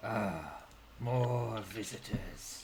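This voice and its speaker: Over clear background noise, a man puts on a raspy character voice at medium pitch. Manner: curious, welcoming.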